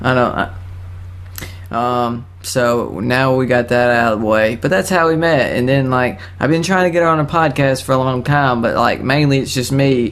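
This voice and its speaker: A man with a medium pitch and ordinary pitch variation speaks at a moderate pace and very even loudness, with music in the background and audible room echo. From Alabama. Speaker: podcast host. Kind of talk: casual chat. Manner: animated.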